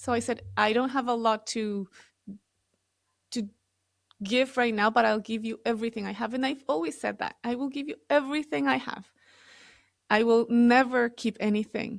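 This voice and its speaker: A woman's fairly high voice with an Ecuadorian accent, moderate in pace, ordinary in pitch variation, broken by long, frequent pauses. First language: Spanish. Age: 40s. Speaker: real estate developer. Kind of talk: interview testimony.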